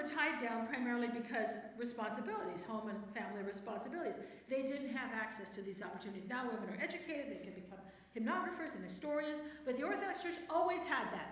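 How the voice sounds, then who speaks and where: A woman speaks fairly quickly in a high voice with an animated tone and very wide pitch swings, leaving long, frequent pauses. Noticeable background noise and audible room echo fill the recording. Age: 60s. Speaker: church speaker, priest's wife and theologian. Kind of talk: talk to a church women's group. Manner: conversational, animated.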